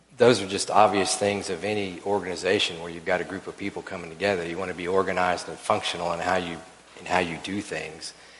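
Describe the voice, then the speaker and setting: A man talks very fast in a very deep, low pitch with monotone, flat intonation and big swings in loudness. Audible room echo and noticeable background noise fill the recording. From Oklahoma City. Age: 60s. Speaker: church elder. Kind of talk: church panel conversation.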